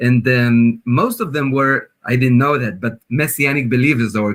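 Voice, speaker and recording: In an Israeli accent, a man speaks at a moderate pace and medium pitch. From northern Israel, kibbutz near Lebanon border. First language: Hebrew. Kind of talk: testimony. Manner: halting, many fillers.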